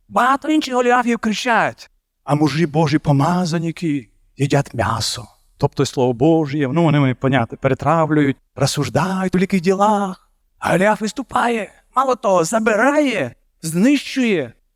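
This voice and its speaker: A man with a high voice speaks at a fairly slow pace, his pitch making very wide swings while his loudness stays very even, in a very clean recording with a silent background and a dry, close sound with no echo. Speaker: preacher. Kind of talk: sermon.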